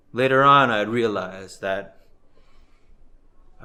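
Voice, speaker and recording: The man's voice has a bright, sharp tone. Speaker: poet. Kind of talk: spoken word poetry.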